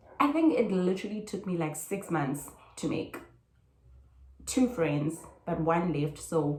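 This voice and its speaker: A woman with a fairly low pitch speaks at a fairly slow pace, her intonation lively. Long, frequent pauses break up her speech, and room echo is audible. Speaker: student vlogger. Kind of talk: casual vlog talk. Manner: casual, code-switching.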